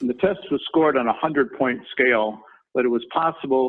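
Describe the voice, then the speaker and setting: Speaking with a Minnesota accent, a man holds a medium pitch with ordinary pitch variation. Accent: Minnesota accent, noticeable. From Minnesota, US Midwest. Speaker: construction company chairman, former lawyer. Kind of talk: career talk in webinar. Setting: company headquarters, video webinar.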